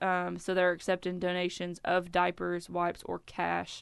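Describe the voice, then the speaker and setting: The background is free of noise. A woman delivers her words at a fairly slow pace. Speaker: radio co-host. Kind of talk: casual morning radio talk.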